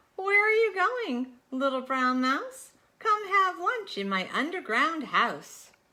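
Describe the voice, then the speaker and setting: Using a put-on character voice, the speaker talks in a raised, projected voice at a fairly slow pace. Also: woman, extremely high pitch for a woman. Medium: read story.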